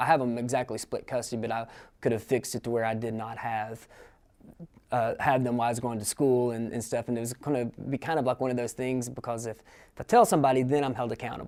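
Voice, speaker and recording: This man speaks very fast in an East Tennessee accent. His medium-pitched voice is monotone and flat. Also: very clean recording, silent background. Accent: Southern US (East Tennessee). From US South, East Tennessee. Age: 30s. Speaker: adult college student. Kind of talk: interview testimony. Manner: halting, many fillers.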